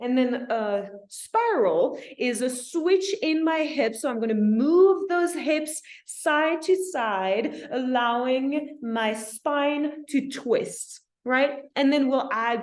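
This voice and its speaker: A woman speaks at a high pitch with a warm tone and lively intonation. She hardly pauses at all. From France. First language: French. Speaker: dance instructor. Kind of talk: dance class instruction. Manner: warm, encouraging.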